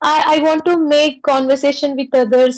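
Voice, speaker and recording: Speaking with a Tamil accent, a woman uses a high pitch at a moderate pace. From South India, Pondicherry. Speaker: English conversation practice host. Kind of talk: casual chat.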